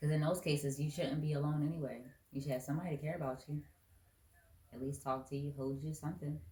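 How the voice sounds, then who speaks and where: With noticeable background noise, a woman talks at a very fast pace in a very deep, low pitch and a monotone, flat intonation. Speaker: podcast guest. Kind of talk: casual chat. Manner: loud.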